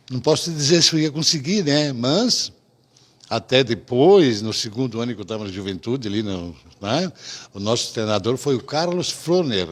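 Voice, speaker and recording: A man's voice at a medium pitch, with very wide pitch swings. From Rio Grande do Sul, Brazil. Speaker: restaurant owner. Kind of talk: interview answer.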